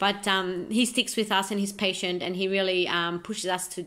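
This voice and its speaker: A woman speaks with an Australian accent at a moderate pace. Her intonation is monotone and flat, and the background is quiet. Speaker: amateur footballer. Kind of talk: self-recorded video monologue. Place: home room. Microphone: phone near.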